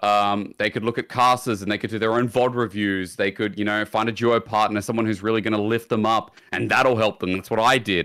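In a very clean recording with a silent background, a man with an Australian accent speaks at a fairly quick pace in a bright, sharp tone and a fairly low pitch. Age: 20s. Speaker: esports shoutcaster. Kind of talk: casual chat.

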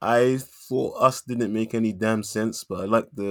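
A man speaks at a fairly low pitch, recorded very cleanly with a silent background and a dry, close sound free of echo. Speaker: podcast co-host. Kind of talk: casual chat. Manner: animated.

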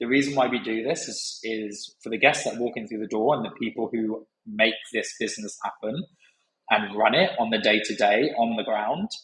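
A man talks with a southern English accent. His voice sits at a medium pitch and moves up and down in an ordinary way. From southern England, Brighton. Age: 30s. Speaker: hospitality operations manager. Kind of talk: casual interview.

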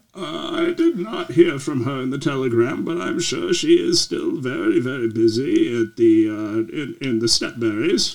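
Here a man puts on a character voice. He talks at a moderate pace. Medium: actual play. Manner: formal, stiff, proper.

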